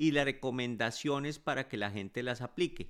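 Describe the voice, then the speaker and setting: An ordinary speaking voice with ordinary pitch variation, on a very clean recording with a silent background. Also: man. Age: 50s. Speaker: physician podcast host. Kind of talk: educational monologue.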